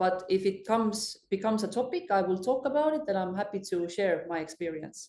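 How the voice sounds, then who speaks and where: Dark and mellow in tone, a woman speaks with an Estonian accent. Her pace is fairly quick. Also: medium pitch for a woman, ordinary pitch variation, hardly any pauses. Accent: Estonian accent, emphasized. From Estonia, island village. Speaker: fintech executive. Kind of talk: podcast interview.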